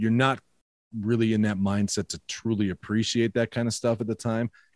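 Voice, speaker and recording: A man's medium-pitched voice with a Minnesotan accent at a moderate pace, dry and close with no echo, on a very clean recording with a silent background. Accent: Minnesota. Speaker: podcaster. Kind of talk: casual chat.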